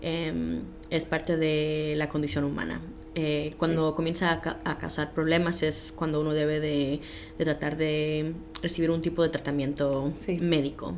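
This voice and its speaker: Noticeable background noise accompanies a woman whose very deep, low voice stays monotone and flat at very even loudness and a fairly slow pace. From Los Angeles, US. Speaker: mental health educator. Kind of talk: interview.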